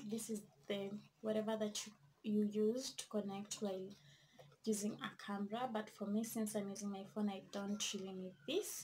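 A somewhat breathy woman at a moderate pace, with light background noise. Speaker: vlogger. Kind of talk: casual vlog chat, product review. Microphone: phone near.

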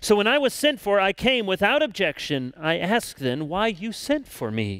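Against a quiet background, a man talks at a moderate pace with a dry sound that has no echo. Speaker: pastor. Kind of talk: scripture reading in sermon. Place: church. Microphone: headset.

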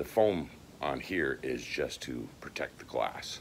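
A man speaks with vocal fry over light background noise. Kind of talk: casual vlog chat. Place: workshop. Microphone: phone near.

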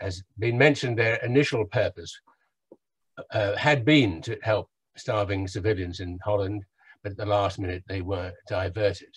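A somewhat breathy man's voice, fairly low in pitch. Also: quiet background. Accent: English. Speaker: professor of oral medicine and medical historian. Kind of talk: lecture. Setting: video call.

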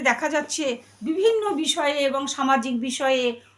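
This woman talks with lively intonation. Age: 60s. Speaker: religious scripture reciter and radio artist. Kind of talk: interview with devotional discourse. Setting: at her home.

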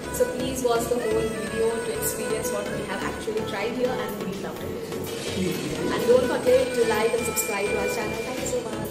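A woman talks at a fairly quick pace over loud background music. The room gives her voice an audible echo. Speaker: food vlogger. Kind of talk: casual vlog intro. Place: cafe. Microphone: camera far.

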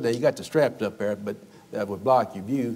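Speaking at a fairly quick pace, a man's voice shows vocal fry. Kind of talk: children's sermon demonstration. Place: church.

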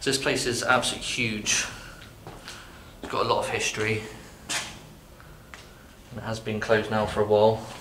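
Over light background noise with audible room echo, a man speaks at a fairly quick pace in a monotone, flat voice. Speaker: urban explorer vlogger. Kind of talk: casual vlog chat. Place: bar. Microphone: phone near.

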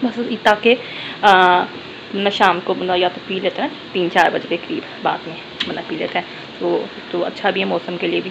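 A woman speaks at a moderate pace with ordinary pitch variation and long, frequent pauses, amid noticeable background noise. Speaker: home vlogger. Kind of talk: casual vlog chat. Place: kitchen. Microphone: phone near.

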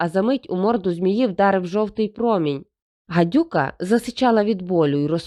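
The clip is reading aloud in a natural voice with ordinary pitch variation. The background is quiet.

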